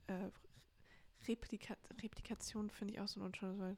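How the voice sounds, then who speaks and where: This is a woman with a fairly high pitch. Her intonation stays fairly even. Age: 20s. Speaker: podcast co-host, sells inherited art. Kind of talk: casual chat.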